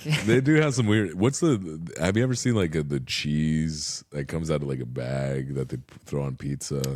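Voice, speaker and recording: The delivery moves at a moderate pace with hardly any pauses. Its intonation is lively. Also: man, very deep, low pitch for a man. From Costa Rica. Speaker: comedian. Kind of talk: podcast interview answer. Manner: casual, conversational.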